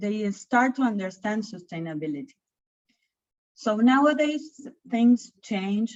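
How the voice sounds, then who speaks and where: Somewhat breathy, a woman with a fairly high pitch speaks at a very slow pace with ordinary pitch variation. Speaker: chamber of commerce sustainability leader. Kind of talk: webinar presentation.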